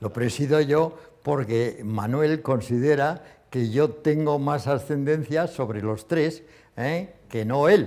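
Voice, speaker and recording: The speech moves at a very slow pace in a dark, mellow tone with ordinary pitch variation. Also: man, fairly high pitch for a man. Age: 70s. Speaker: retired company founder. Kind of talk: interview.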